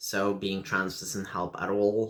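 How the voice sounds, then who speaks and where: A man with a Russian accent, fairly slow pace, vocal fry, fairly low pitch and a bright, sharp tone. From Lithuania. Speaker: video blogger. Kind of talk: personal vlog monologue. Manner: halting with many fillers.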